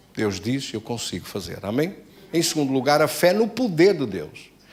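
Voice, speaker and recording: Very wide pitch swings mark this fairly slow speech, heard with audible room echo. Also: man. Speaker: pastor. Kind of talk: sermon.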